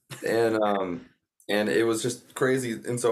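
A man talks with a Southern US accent. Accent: Southern US (Georgia). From US South, North Georgia. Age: 20s. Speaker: country musician. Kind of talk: casual interview.

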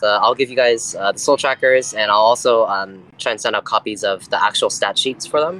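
This is a natural reading voice. Nothing else stands out.

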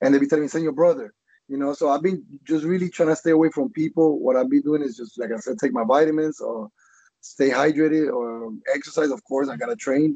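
At a fairly quick pace, a man with a fairly high pitch and dark, mellow tone uses lively intonation, the sound dry and close with no echo. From Colombia. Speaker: MMA fighter. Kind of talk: interview. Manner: halting.

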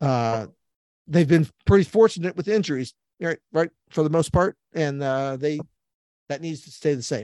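A man speaks in a Midwestern American accent with a dark, mellow tone and big swings in loudness. The sound is dry and close, with no echo. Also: fairly high pitch for a man, ordinary pitch variation, moderate pace. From central Illinois. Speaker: sports reporter. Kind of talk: casual interview.

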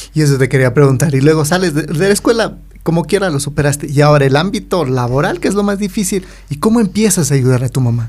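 A man's somewhat breathy, fairly high voice at a very fast pace, with lively intonation. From Ecuador, highlands (Otavalo). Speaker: podcast host. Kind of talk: casual interview chat.

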